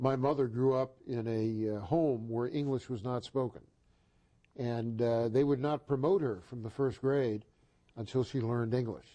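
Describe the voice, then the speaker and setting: The man's tone is dark and mellow, and he keeps a moderate pace over a quiet background. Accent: American. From US Northeast (Boston). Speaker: talk show host. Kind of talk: interview.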